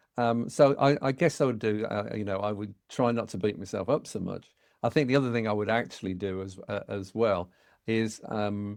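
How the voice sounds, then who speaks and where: Against a quiet background, a man with a British accent speaks at a moderate pace and a fairly low pitch. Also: ordinary pitch variation. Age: 60s. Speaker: family business consultant. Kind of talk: podcast interview. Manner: halting, many repetitions.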